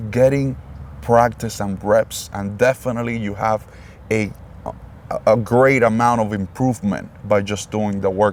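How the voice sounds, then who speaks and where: A man with a non-native accent, fairly low-pitched, at a fairly slow pace with ordinary pitch variation. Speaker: podcast host. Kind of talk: interview. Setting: in person, face to face. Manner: halting.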